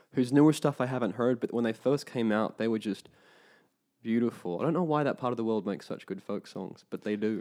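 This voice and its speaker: Here a man talks at a fairly quick pace with an Australian accent. His medium-pitched voice has a dark, mellow tone and ordinary pitch variation. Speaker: actor. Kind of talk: casual chat.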